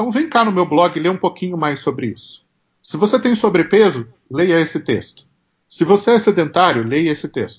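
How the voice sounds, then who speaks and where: A man speaks at a moderate pace with a high voice and lively intonation over a quiet background. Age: 40s. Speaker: marketing consultant and professor. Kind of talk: interview.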